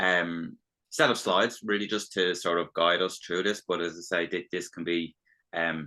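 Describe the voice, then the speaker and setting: A man with an Irish accent speaks in a very deep, low pitch with a bright, sharp tone. His intonation is fairly even and his pace moderate. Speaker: business development consultant. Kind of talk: webinar presentation. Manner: halting, many false starts.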